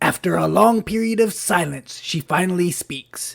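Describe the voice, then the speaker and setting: This is a put-on character voice, raspy throughout. It sits at a middle pitch. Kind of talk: stand-up joke telling. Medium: cartoon. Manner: brisk, deadpan punchline delivery.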